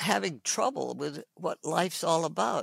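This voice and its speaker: A woman speaks at a very slow pace with a fairly low pitch and vocal fry. The sound is dry and close, with no echo. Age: 80s+. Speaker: physician. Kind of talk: interview answer.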